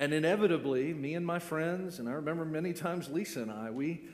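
With an American accent, a man speaks at a fairly high pitch. Room echo is audible. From Florida, US. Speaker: pastor. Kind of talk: sermon.

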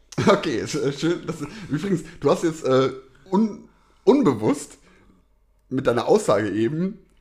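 A man talks at a fairly slow pace with a fairly high pitch. His pitch swings very widely, and he leaves long, frequent pauses. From Rhineland, western Germany. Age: 30s. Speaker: podcast co-host. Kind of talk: casual chat.

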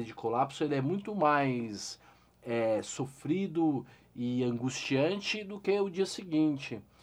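A man's fairly high, ordinary speaking voice with lively intonation. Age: 40s. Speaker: investor and financial educator. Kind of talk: interview.

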